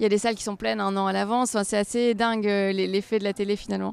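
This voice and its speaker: Talking very fast, a woman keeps her medium pitch in a flat monotone. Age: 30s. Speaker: stand-up comedian. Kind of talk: interview answer.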